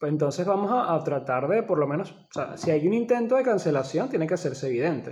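Very wide pitch swings and big swings in loudness, at a fairly quick pace with hardly any pauses. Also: man, high pitch for a man. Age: 20s. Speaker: podcast host. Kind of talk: casual chat.

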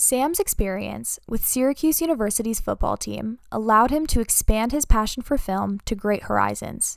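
With hardly any pauses, a woman talks at a moderate pace on a very clean recording with a silent background. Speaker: student podcast host. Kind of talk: scripted narration.

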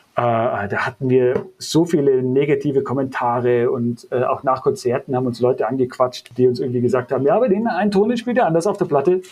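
A man speaks at a fairly quick pace with hardly any pauses, in an ordinary speaking voice. His pitch is fairly high, and his intonation is lively. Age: 30s. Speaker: metal bassist. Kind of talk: casual interview.

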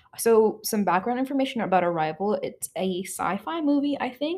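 With lively intonation, a woman speaks at a moderate pace in an ordinary speaking voice. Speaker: podcast host. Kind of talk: casual chat.

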